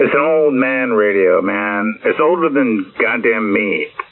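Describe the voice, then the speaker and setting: Noticeable background noise sits behind a man who speaks at a fairly slow pace. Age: 60s. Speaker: ham radio operator. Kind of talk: casual chat.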